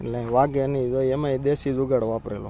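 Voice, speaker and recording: A man talks at a fairly high pitch with monotone, flat intonation. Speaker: village vlogger and farmer. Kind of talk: casual vlog narration. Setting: outdoors on a farm.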